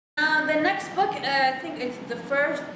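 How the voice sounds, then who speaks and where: Against noticeable background noise and audible room echo, a woman with an Arabic accent talks at a fairly slow pace. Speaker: book vlogger. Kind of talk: casual monologue book review. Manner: animated; halting.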